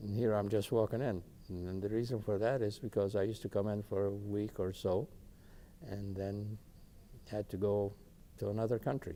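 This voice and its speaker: A man with a fairly low pitch and a dark, mellow tone speaks at a moderate pace. His intonation stays fairly even, with long, frequent pauses. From Palestine, Ramallah. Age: 70s. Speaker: oral history interviewee, retired engineer. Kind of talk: oral history interview. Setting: videotaped interview. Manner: halting, with frequent fillers.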